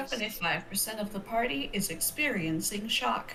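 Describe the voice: This female-sounding voice is a put-on character voice, robotic and at a medium pitch for a woman. It moves at a moderate pace against clear background noise.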